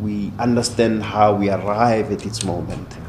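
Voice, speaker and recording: Fairly low in pitch, a man talks in an unremarkable speaking voice with fairly even intonation. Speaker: podcast host. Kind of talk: interview conversation.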